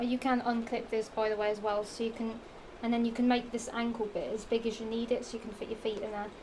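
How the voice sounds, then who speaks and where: Noticeable background noise accompanies a woman speaking fairly quickly in a Norfolk accent. Her fairly high voice stays in a monotone, flat intonation. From England, Norfolk. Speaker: fashion vlogger. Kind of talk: casual haul vlog. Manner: rambling, halting with fillers.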